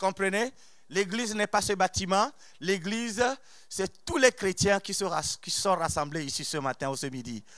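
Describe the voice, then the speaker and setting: A man with a non-native accent speaks at a fairly slow pace in a high, animated voice, with lively intonation and big swings in loudness. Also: very clean recording, silent background. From outside France. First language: not French (speaking French). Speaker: preacher. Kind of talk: sermon. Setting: church.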